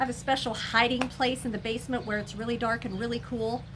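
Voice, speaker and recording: This woman has a high-pitched voice. Her tone is animated. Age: 60s. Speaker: scented wax reviewer and seller. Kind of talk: casual chat. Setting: home, seated in a glider chair.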